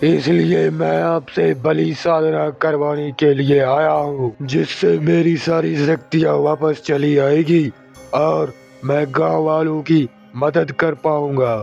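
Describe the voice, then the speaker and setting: A cartoonish character voice drags along at a very slow pace, with faint music in the background. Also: man, fairly high pitch for a man. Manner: menacing.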